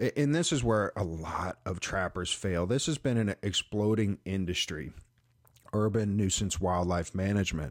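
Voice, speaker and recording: Recorded very cleanly with a silent background, a man speaks in a normal speaking voice at a moderate pace. His pitch is fairly low, with ordinary variation and very even loudness. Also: dry, close sound with no echo. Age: 40s. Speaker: wildlife trapper and podcast host. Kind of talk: podcast monologue. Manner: casual with frequent fillers.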